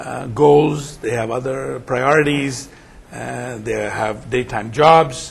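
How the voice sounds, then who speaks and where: A man speaks in a fairly high voice with ordinary pitch variation. There is audible room echo and noticeable background noise. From India. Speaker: nonprofit executive director. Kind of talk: interview. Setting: conference.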